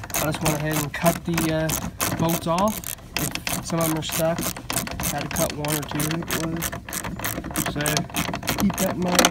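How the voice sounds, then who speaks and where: The speech moves at a moderate pace, broken by long, frequent pauses. Loud background noise runs underneath. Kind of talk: tutorial. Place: open country. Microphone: phone near.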